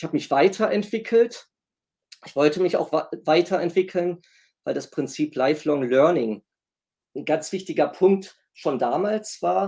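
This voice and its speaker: With a dark, mellow tone yet a high pitch, a man speaks at a fairly slow pace with lively intonation, big swings in loudness and long, frequent pauses. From Germany, Essen (North Rhine-Westphalia). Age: 50s. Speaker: professor. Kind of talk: interview. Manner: formal.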